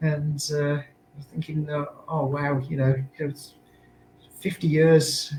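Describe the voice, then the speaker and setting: A man with an English accent and a fairly high pitch speaks very slowly in a monotone, flat voice, with long, frequent pauses. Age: 60s. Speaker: musician and music writer. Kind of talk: casual chat. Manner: halting.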